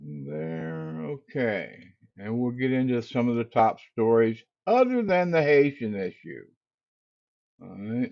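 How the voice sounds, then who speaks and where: At a very slow pace, a man with a medium-pitched voice makes very wide pitch swings and big swings in loudness. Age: 70s. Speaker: livestream host. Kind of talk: casual livestream talk. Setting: livestream studio. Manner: halting.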